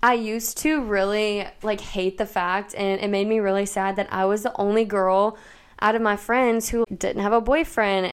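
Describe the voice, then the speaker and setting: With a plain, everyday voice and an American accent, a woman talks at a medium pitch and a moderate pace with fairly even intonation, in a very clean recording with a silent background. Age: 20s. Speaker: podcast host. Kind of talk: solo podcast monologue.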